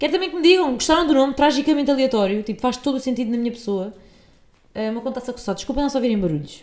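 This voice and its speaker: A woman speaks at a very fast pace with a high pitch. Her intonation is lively. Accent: European Portuguese. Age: 20s. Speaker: podcast host. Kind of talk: casual monologue. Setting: at home on sofa.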